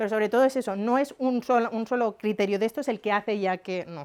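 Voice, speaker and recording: This woman speaks at a fairly quick pace with lively intonation. Her pitch is fairly high. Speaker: psychologist lecturer. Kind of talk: lecture. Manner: fast.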